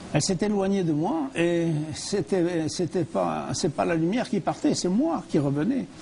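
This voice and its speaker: The man's voice is high-pitched. His intonation is lively. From France. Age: 80s+. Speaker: near-death experience survivor and speaker. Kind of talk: TV interview testimony. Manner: halting, with repetitions and hesitations.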